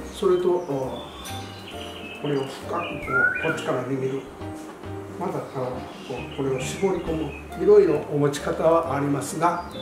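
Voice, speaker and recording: Pausing long and often, a man speaks at a moderate pace with audible room echo and noticeable background noise. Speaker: amateur golf instructor. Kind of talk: golf tips talk to camera. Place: gym.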